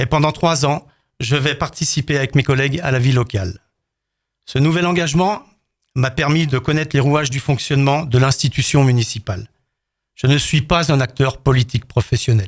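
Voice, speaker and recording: This man's fairly high voice is somewhat breathy, with ordinary pitch variation and very even loudness, moving at a moderate pace broken by long, frequent pauses. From France, Haute-Savoie (Rumilly). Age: 60s. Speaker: retired firefighter officer, mayoral candidate. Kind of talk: prepared candidate statement.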